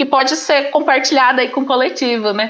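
Here a woman speaks in a high pitch at a moderate pace. Her pitch varies in an ordinary way. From Brazil, Paraná. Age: 20s. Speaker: teacher and master's student. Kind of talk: casual chat.

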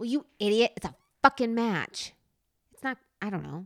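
With lively intonation and an animated tone, a woman speaks at a moderate pace in a bright, sharp voice of fairly high pitch. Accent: slight New Jersey. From New Jersey. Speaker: podcast host. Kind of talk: casual chat. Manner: animated, laughs often, impatient.

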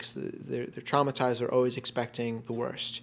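This man has an ordinary speaking voice, with fairly even intonation and a fairly quick pace. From Florida. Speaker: hypnotherapist. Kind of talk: casual interview. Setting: in person.

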